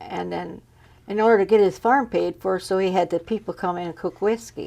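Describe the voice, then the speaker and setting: Vocal fry runs through this woman's dark, mellow tone as she talks at a fairly quick pace with an American accent. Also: medium pitch for a woman, ordinary pitch variation. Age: 80s+. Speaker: interviewee, elderly farm woman. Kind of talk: oral history interview. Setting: on camera interview. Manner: halting.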